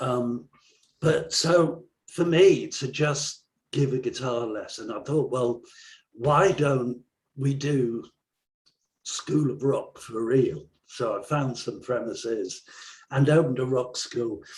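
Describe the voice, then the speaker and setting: A man with an English accent speaks at a medium pitch, somewhat breathy, at a very slow pace with long, frequent pauses. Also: ordinary pitch variation. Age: 60s. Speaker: songwriter and rock school owner. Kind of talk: interview.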